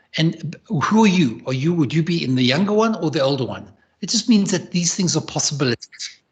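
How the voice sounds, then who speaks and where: The intonation is lively and the pace is moderate. Loudness rises and falls in big swings. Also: man. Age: 60s. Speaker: leadership advisor and entrepreneur. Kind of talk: interview. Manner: halting, with many repetitions.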